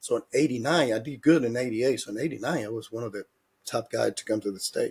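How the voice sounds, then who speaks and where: Speaking at a very fast pace, a man with a medium pitch and ordinary pitch variation sounds somewhat breathy, his loudness swinging widely in a dry, close sound with no echo. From Dominican Republic. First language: Spanish. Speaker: former baseball player and hitting coach. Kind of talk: interview.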